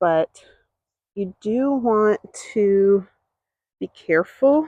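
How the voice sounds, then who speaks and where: A soft-spoken woman has a dark, mellow tone. Her sound is dry and close, with no echo. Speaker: vlogger. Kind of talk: walking tour vlog. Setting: outdoors.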